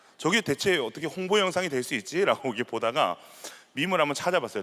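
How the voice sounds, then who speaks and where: A man's very fast, bright, sharp voice with very wide pitch swings. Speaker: pastor. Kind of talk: sermon.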